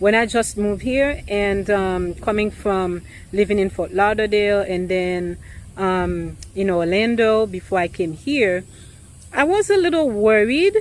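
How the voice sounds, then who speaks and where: A woman with a non-native accent talks at a fairly slow pace. Her pitch is medium, with ordinary variation. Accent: noticeable foreign. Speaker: realtor. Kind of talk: vlog monologue. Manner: hesitant, many fillers.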